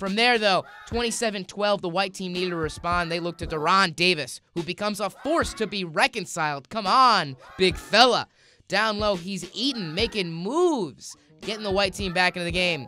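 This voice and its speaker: In a very clean recording with a silent background, a man with a high pitch projects a raised voice in an upbeat, playful, bright and sharp tone at a moderate pace with ordinary pitch variation. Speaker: sports commentator. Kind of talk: comedic sportscast update.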